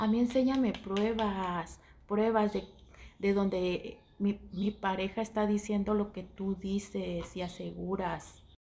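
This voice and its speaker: Over light background noise, a somewhat breathy voice with a dark, mellow tone moves at a very slow pace in monotone, flat intonation. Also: woman, medium pitch for a woman. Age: 40s. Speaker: social media gossip vlogger; content creator. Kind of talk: casual monologue. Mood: indignant, annoyed. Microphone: headset.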